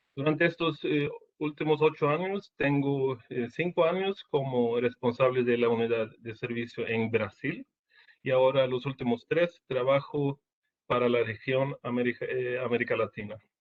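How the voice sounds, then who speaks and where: Speaking fairly slowly in a Portuguese accent, a man with a medium-pitched voice shows ordinary pitch variation. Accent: Portuguese-tinged Spanish. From Sweden. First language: Swedish (speaking Spanish). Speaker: engineering service manager. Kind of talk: webinar presentation. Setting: online webinar. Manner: halting.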